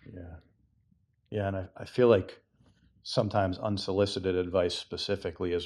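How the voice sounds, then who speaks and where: A man's very deep, low voice in a flat monotone with an American accent, fairly quick in pace, over a quiet background. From Massachusetts. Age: 40s. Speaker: book group member. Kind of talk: casual book discussion.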